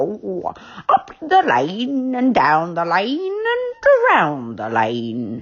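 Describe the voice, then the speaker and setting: A woman's put-on character voice, growling at a very slow pace. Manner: polite, friendly.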